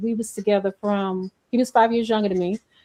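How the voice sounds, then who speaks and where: Here is a plain, everyday voice: a woman speaking at a fairly quick pace with a fairly high pitch, the sound dry and close with no echo. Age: 50s. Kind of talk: casual chat.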